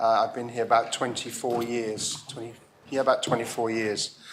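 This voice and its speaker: Man of medium pitch with a London accent, at a moderate pace. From England, East London. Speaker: parliament member. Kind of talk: parliamentary debate speech.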